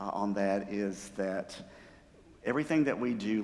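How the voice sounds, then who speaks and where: With audible room echo, a man speaks at a moderate pace in a fairly low voice. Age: 60s. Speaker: church music director. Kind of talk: talk to a church group. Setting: church sanctuary. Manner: conversational, with many fillers.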